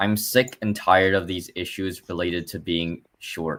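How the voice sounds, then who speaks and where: Recorded very cleanly against a silent background, a man talks with a very deep, low pitch. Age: 20s. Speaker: livestreamer. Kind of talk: casual chat. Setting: livestream. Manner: animated.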